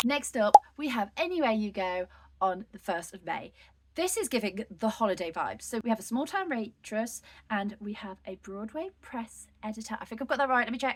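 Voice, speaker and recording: With lively intonation and an upbeat tone, a woman speaks at a fairly high pitch in a somewhat breathy voice. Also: moderate pace. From United Kingdom. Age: 20s. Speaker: book reviewer. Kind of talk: casual talk to camera.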